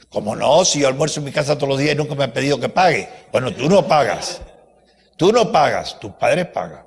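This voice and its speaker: The speech moves at a fairly quick pace with lively intonation. Audible room echo can be heard. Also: man, fairly high pitch for a man. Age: 80s+. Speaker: university professor giving a talk. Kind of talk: lecture. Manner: animated.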